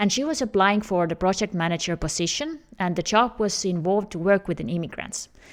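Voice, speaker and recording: A woman speaks at a fairly quick pace with an Estonian accent. Her intonation is lively, and the recording is very clean with a silent background. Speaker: career coach. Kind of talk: tutorial.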